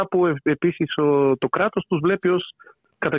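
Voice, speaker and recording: A man talks with a Bulgarian accent. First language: Bulgarian (speaking Greek). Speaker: author on political theory. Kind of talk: interview. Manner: hesitant, with fillers.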